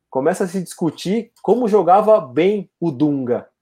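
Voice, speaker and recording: Against a quiet background, a man speaks with a dark, mellow tone and lively intonation. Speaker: podcast host. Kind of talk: casual chat.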